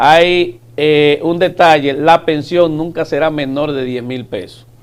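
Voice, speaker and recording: Very slow speech from a man, fairly high in pitch, with fairly even intonation. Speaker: government official. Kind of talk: TV interview.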